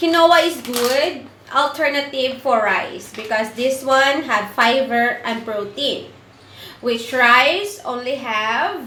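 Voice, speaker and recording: Very slowly, a woman with a Filipino accent speaks in a high, raised and projected voice with ordinary pitch variation. Noticeable background noise runs underneath. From Philippines. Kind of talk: casual cooking tutorial to camera.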